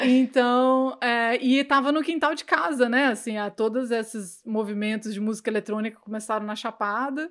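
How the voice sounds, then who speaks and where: A woman's plain, everyday voice, fairly high with ordinary pitch variation, at a moderate pace with hardly any pauses, on a very clean recording with a silent background. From Brazil, Goiânia. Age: 30s. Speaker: cannabis educator. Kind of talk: casual interview chat.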